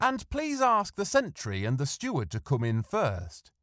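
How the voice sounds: A man puts on a character voice, fairly high and fairly bright, swinging very widely in pitch at a fairly slow pace on a very clean recording with a silent background.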